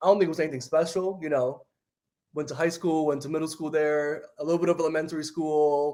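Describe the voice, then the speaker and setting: A man with a dark, mellow tone speaks at a very fast pace and a fairly high pitch. His intonation is monotone and flat. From New York City (Bronx), partly Dominican Republic. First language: Spanish. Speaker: reality TV story producer. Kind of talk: casual interview. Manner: filler-heavy, uses 'like' a lot.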